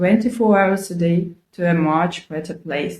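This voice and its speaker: In a non-native accent, a woman talks at a fairly slow pace with a fairly low pitch, fairly even intonation, and a somewhat breathy quality. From Ukraine. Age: 40s. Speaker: video blogger. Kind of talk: personal vlog monologue. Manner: earnest, conversational.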